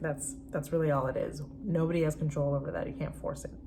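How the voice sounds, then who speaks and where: Amid noticeable background noise and audible room echo, a woman is speaking. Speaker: spiritual fertility coach. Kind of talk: online course introduction. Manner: fast; halting, many fillers.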